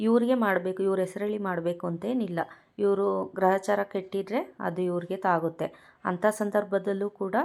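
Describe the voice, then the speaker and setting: Soft-spoken and medium in pitch, a woman talks with fairly even intonation. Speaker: spiritual YouTuber teaching mantras. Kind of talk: instructional talk to camera.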